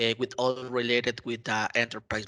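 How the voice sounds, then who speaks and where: A man speaks at a medium pitch with a Mexican accent. His tone is bright and sharp. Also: quiet background. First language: Spanish. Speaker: IT community contributor. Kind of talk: interview. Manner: halting, many fillers.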